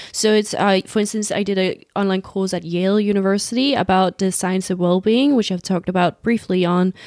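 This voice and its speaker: A woman of medium pitch speaks in an ordinary speaking voice with ordinary pitch variation, in a very clean recording with a silent background. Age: 20s. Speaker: podcast host, social media consultant. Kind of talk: casual chat.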